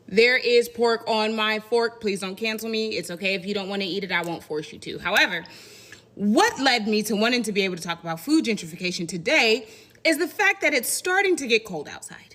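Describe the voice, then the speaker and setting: Over noticeable background noise, a woman with an American accent and a fairly high pitch talks at a fairly quick pace with lively intonation. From Indiana, US Midwest with Southern family roots. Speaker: content creator. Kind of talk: casual commentary video.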